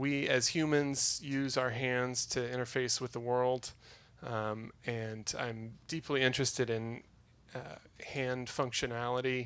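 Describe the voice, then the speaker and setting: Heard in a very clean recording against a silent background, a man speaks fairly slowly at a medium pitch with monotone, flat intonation. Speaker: spacesuit designer, inventor. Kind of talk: talk to a live audience. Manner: slow enunciation; hesitant, many fillers.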